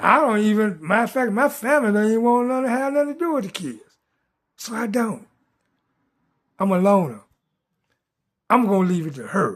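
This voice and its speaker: A high-pitched man talks at a fairly quick pace with lively intonation. He takes long, frequent pauses. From US South (Richmond, Virginia and Atlanta, Georgia). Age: 70s. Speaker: vlogger. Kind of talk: casual monologue.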